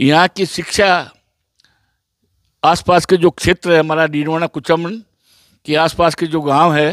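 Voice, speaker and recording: In a very clean recording with a silent background and a dry, close sound with no echo, a man with a fairly high voice speaks in a flat monotone with long, frequent pauses. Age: 80s+. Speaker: village elder, former village head. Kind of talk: interview.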